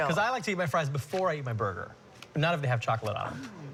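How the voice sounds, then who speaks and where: A very fast-talking man with a fairly high voice and very wide pitch swings. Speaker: TV news anchor. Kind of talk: casual anchor banter.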